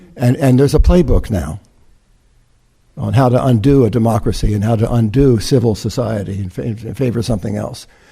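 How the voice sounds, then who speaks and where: A man's dark, mellow tone at medium pitch, with vocal fry, ordinary pitch variation and a fairly quick pace. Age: 70s. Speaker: reverend, interfaith speaker. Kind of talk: sermon. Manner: halting, many repetitions and fillers.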